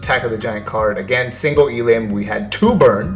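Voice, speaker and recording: Music plays behind a man speaking at a moderate pace, his voice at a medium pitch with ordinary pitch variation. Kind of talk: casual video talk about card game tournament results.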